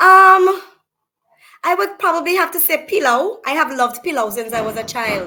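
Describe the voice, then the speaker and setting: A woman's raised, projected voice in a Vincentian accent, extremely high with very wide pitch swings, at a moderate pace. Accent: Vincentian Caribbean English. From St Vincent. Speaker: small business owner. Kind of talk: casual interview.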